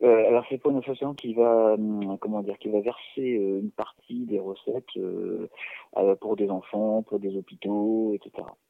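It is an unremarkable speaking voice with fairly even intonation. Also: man, fairly low pitch for a man, fairly slow pace. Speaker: clown. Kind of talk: casual chat. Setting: phone call. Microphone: talking too close or far from phone.

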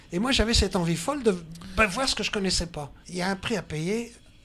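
A man's high voice at a very fast pace. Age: 80s+. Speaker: lifelong hitchhiking traveler. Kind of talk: interview. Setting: studio on a festival barge.

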